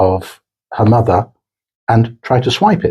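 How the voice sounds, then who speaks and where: Somewhat breathy and dark, mellow in tone, a man with a fairly low pitch speaks at a fairly slow pace on a very clean recording with a silent background. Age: 60s. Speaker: corporate executive. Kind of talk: interview.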